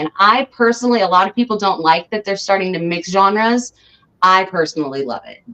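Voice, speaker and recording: An American woman with an ordinary speaking voice talks at a fairly quick pace and medium pitch, using lively intonation. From Southern California. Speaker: rapper and singer. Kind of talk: interview.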